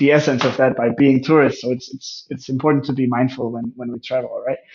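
A man at a medium pitch with fairly even intonation and a Danish accent. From Denmark, near Aarhus. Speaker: travel photographer and life coach. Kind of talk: interview.

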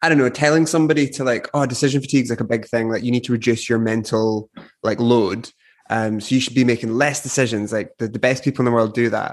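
A man speaks very fast at medium pitch with fairly even intonation. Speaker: podcast host. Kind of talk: casual interview chat. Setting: video call. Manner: casual, lighthearted.

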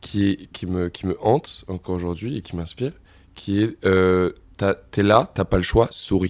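A man with a very deep, low pitch and ordinary pitch variation speaks in a very clean recording with a silent background. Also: fairly slow pace. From Paris region, Val-d'Oise. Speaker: singer. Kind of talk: casual chat.

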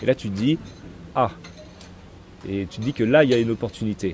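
A man speaks fairly quickly in a fairly low pitch with ordinary pitch variation. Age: 30s. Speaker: sneaker reseller. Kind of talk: casual interview.

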